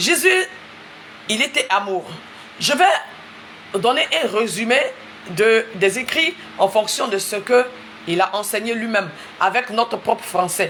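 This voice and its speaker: With an Ivorian accent, a woman speaks very slowly at a fairly high pitch, with lively intonation and long, frequent pauses, over noticeable background noise. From Ivory Coast. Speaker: preacher. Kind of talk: sermon. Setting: livestream. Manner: repetitive, emphatic.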